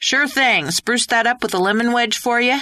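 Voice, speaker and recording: A female-sounding, put-on character voice speaks at a high pitch and a moderate pace. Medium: read story. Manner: casual, friendly.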